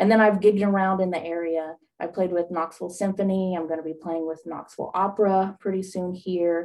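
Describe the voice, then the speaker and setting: A woman with an Appalachian accent talks at a fairly quick pace in a fairly low pitch, her intonation flat and monotone. Music plays in the background. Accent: Appalachian Southern US. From East Tennessee / Southwest Virginia (Appalachia). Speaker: horn player and student success coach. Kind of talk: radio interview.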